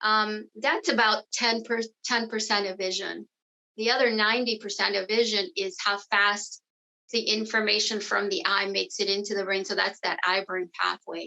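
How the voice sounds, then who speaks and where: With a bright, sharp tone and vocal fry, a woman speaks at a moderate pace, her pitch fairly high and her intonation fairly even. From South America. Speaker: neuro-optometrist. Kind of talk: webinar talk. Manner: hesitant, with false starts.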